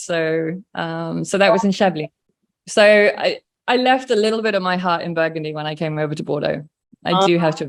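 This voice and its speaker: A woman with an English accent speaks at a very fast pace. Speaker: wine producer. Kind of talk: casual interview chat.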